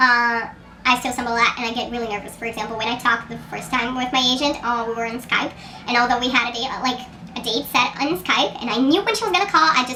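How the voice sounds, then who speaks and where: A woman talking at a very fast pace in a high voice, with audible room echo and noticeable background noise. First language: Portuguese. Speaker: writer and contest mentor. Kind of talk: casual vlog monologue.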